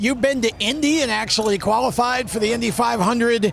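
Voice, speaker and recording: Against noticeable background noise, a man talks fairly quickly at a high pitch with ordinary pitch variation. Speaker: motorsport interviewer. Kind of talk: pit-area interview questions. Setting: outdoors.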